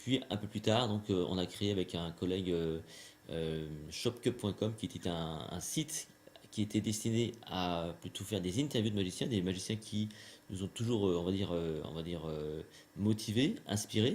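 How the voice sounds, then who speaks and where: Very deep, low pitch from a male speaker, with ordinary variation in pitch. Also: moderate pace. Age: 40s. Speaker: magician and trainer. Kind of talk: interview. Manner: hesitant, many fillers.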